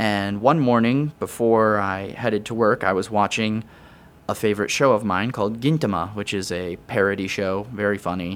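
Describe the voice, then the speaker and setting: Over a silent background on a very clean recording, a man uses a normal speaking voice, fairly low in pitch, with ordinary pitch variation at a moderate pace. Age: 20s. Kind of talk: casual interview.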